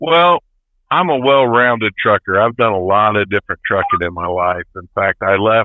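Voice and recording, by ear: A man speaks at a moderate pace and a fairly low pitch, his pitch varying in an ordinary way, in a dry, close sound with no echo.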